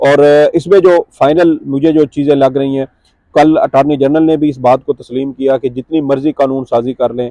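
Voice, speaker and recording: A man's dark, mellow voice with fairly even intonation at a moderate pace, in a dry, close sound with no echo. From Punjab, Pakistan. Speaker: court journalist. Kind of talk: political talk show discussion. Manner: hesitant, with many fillers.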